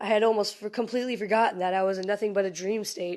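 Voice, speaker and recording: Against a quiet background, a woman talks at a very fast pace in a medium pitch. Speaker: amateur creepypasta writer and reader. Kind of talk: horror story reading. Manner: reading from text.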